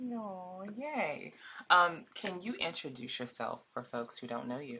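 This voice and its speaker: A woman speaks with an American accent, her pitch fairly low and swinging very widely. Her tone is bright and sharp, with vocal fry. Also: fairly slow pace. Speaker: podcast host. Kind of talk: interview.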